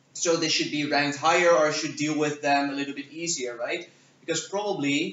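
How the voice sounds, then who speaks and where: A man with a non-native accent talks at a fairly quick pace and a fairly high pitch. His intonation is fairly even, and background noise is noticeable. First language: not English. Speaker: debate judge. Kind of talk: workshop lecture. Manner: hesitant, many fillers.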